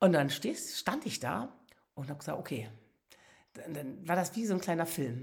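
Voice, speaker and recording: A woman's animated, somewhat breathy voice, fairly low-pitched, with very wide pitch swings, a moderate pace and long, frequent pauses. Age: 60s. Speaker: podcast host, motivational speaker. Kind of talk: personal storytelling monologue.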